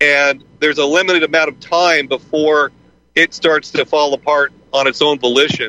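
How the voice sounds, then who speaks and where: This man has an ordinary speaking voice with a fairly high pitch and a moderate pace. The sound is dry and close, with no echo. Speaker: radio host. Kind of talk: radio roundtable discussion.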